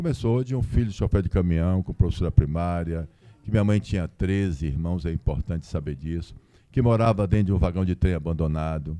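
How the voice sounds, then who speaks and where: The tone is dark and mellow, and the pace runs fairly quick. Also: man, very deep, low pitch for a man, ordinary pitch variation. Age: 60s. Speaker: businessman and lawyer. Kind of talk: live podcast interview. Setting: stage with audience.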